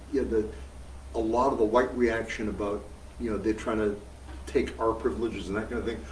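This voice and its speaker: A man with an American accent and vocal fry speaks at medium pitch, with audible room echo. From US Northeast (Massachusetts). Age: 70s. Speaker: veteran socialist activist. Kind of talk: interview. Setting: live event with audience. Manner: projects well.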